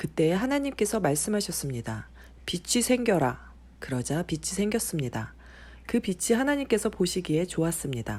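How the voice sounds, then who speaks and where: A woman's gentle, fairly low voice with vocal fry and very wide pitch swings, at a moderate pace on a very clean recording with a silent background. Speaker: mother reading the Bible to her son, not a professional announcer. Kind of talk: Bible reading for children and new believers. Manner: gentle, plain, unpolished reading.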